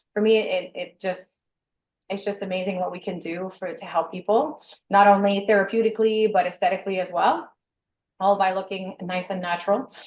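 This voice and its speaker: Loud and fairly quick, a woman speaks at a medium pitch with fairly even intonation. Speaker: nurse and franchisee. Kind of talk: interview.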